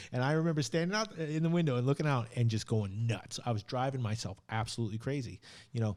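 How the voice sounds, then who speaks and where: In a very clean recording with a silent background, a man with a medium pitch talks at a very fast pace, his tone animated, his intonation lively and his loudness very even. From not British, lives in Britain. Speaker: podcast host. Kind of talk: casual chat. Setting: studio.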